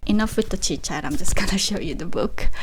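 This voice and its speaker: A woman with a Korean accent. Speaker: vlogger and digital marketer. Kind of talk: casual vlog talk to camera. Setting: home office.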